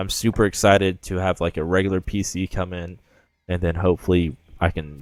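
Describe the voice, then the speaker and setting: Music plays in the background while the speaker talks at a moderate pace. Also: man. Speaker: gaming youtuber. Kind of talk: casual gameplay commentary. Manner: loud; casual, filler-heavy.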